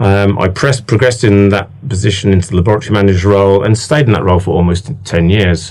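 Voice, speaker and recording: Very fast, fairly low-pitched speech from a man with a British accent, hardly any pauses, ordinary pitch variation and very even loudness. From England. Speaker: laboratory manager. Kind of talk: interview. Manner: hesitant, many fillers.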